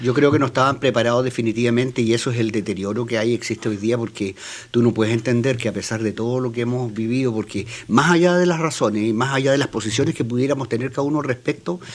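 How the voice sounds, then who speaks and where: A man speaks at a medium pitch with ordinary pitch variation. His pace is very fast. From Chile. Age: 60s. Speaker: political columnist panelist. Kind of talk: panel debate.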